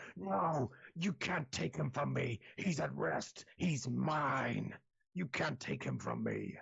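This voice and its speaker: Speaking fairly slowly, a man adopts a raspy, put-on character voice pitched in his middle range. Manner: angry, possessive.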